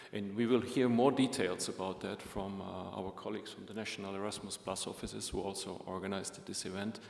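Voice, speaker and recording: A man with a German-speaking European accent talks at a fairly quick pace with fairly even intonation. Room echo and noticeable background noise are present. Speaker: EU agency official. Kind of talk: opening speech at a conference. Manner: formal.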